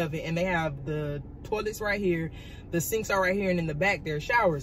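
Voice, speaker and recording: A woman with ordinary pitch variation, light background noise behind her. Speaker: vlogger. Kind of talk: casual storytime vlog chat. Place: car. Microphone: phone near.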